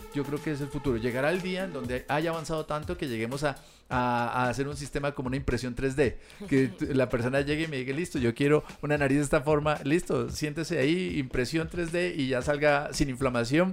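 A man with a fairly high pitch talks very fast while noticeable background noise goes on. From Colombia, Pasto (Nariño). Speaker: facial plastic surgeon. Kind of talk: podcast interview.

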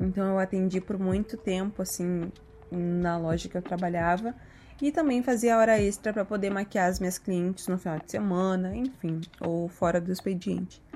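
A woman's dark, mellow tone at medium pitch, with ordinary pitch variation and a moderate pace. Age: 20s. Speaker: makeup artist. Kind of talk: personal monologue podcast.

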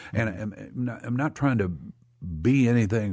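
A man's somewhat breathy, fairly low-pitched voice with lively intonation, set against a quiet background. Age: 70s. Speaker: Vietnam veteran and TV producer. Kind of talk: interview. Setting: studio.

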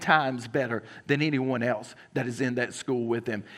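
Here a man talks with a Southern US accent. His pitch variation is ordinary. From South Carolina. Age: 30s. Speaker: pastor. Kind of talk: sermon. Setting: church.

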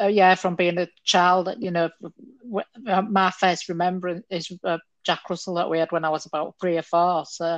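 A woman with a fairly low pitch speaks at a moderate pace in a monotone, flat way. The sound is dry and close with no echo, over a quiet background. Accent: Yorkshire. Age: 50s. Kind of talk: casual chat.

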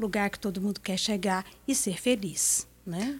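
A woman talks at a very slow pace with medium pitch and fairly even intonation. The recording is very clean, with a silent background. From Minas Gerais, Brazil. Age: 60s. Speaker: businesswoman and association leader. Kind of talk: radio interview.

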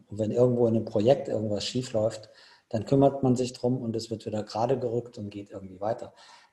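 Over noticeable background noise, a man talks at a very fast pace and medium pitch, with fairly even intonation and big swings in loudness. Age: 50s. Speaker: ultra trail runner. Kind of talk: casual chat.

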